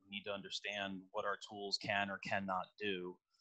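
At a moderate pace, a man with a fairly low voice speaks in a monotone, flat manner with a bright, sharp tone over a quiet background. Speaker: automotive technical trainer. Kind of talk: webinar lecture. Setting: video call from home. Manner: halting, repeats words. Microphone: headset.

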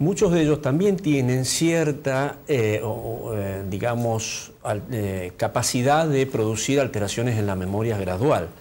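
The man's intonation is lively while he talks fairly slowly. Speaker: neurologist; guest. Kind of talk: TV interview. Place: studio. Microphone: lapel.

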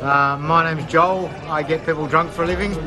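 Clear music plays in the background while the voice moves at a moderate pace. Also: man. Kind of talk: interview answer. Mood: relaxed, humorous. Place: bar. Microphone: phone near.

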